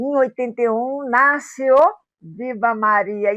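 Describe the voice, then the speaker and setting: A woman talks at a very slow pace, her intonation lively. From Rio de Janeiro, Brazil. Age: 70s. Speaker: radio host. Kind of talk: documentary interview.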